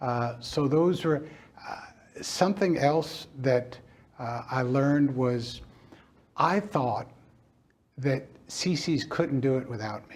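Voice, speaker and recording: A man with an American accent speaks very slowly at a fairly high pitch, his voice somewhat breathy. Long, frequent pauses and big swings in loudness mark his delivery. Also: ordinary pitch variation. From Brooklyn, New York. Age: 60s. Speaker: restaurant chain founder. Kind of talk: interview. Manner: reflective, with frequent hesitations.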